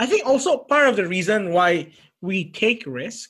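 A man's bright, sharp tone comes through at a fairly slow pace. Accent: Indonesian. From Indonesia. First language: Indonesian. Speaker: podcast host. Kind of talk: casual chat. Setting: video call.

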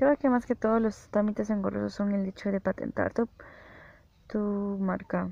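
A woman speaks in a dark, mellow tone against a quiet background. The sound is dry and close, with no echo. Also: medium pitch for a woman, fairly even intonation, moderate pace. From El Salvador. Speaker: podcaster and freelance programmer. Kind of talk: solo podcast monologue.

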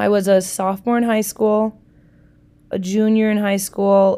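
A woman with an Upper Midwest accent speaks at medium pitch and moderate pace in a dark, mellow tone. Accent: Upper Midwest American. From Milwaukee, Wisconsin, US Midwest. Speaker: podcast host, social worker. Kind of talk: casual solo podcast monologue. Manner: animated.

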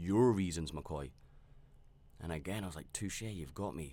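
This man's pitch is very deep and low, varying in an ordinary way as he talks at a moderate speed. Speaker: solo podcast host. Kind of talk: personal reflective monologue. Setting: studio. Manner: unscripted, hesitant with fillers. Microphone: close to mic, wearing headphones.

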